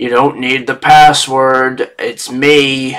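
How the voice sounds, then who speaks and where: Using a put-on character voice, a man talks at a very slow pace and medium pitch. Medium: actual play. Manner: exasperated.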